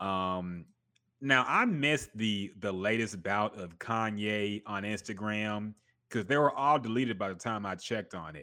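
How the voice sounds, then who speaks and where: A man with a fairly low pitch speaks at a fairly slow pace against a quiet background, with ordinary pitch variation. His tone is bright and sharp, and his loudness swings widely. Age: 30s. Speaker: podcast host. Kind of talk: casual chat. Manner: animated.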